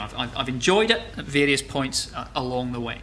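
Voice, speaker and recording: A man with a Scottish accent speaks with lively intonation amid audible room echo. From Scotland, Glasgow. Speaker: geology lecturer. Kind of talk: lecture. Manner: halting, many repetitions and fillers.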